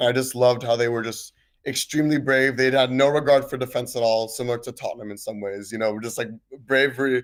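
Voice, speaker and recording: A man with an American accent at a medium pitch, very fast and monotone, in a very clean recording with a silent background. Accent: American-sounding. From Switzerland. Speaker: caller, football fan. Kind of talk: casual chat.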